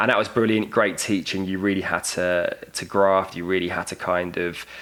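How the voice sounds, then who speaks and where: An enthusiastic man with a very deep, low voice and a British accent. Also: moderate pace. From United Kingdom. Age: 30s. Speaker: media sales and digital strategy professional. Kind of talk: podcast interview answer.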